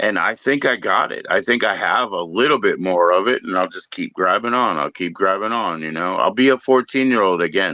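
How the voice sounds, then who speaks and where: Over a quiet background, a man with a bright, sharp tone talks at a fairly quick pace, medium pitch and ordinary pitch variation. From Maryland, outside DC. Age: 40s. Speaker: podcast host. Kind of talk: casual chat.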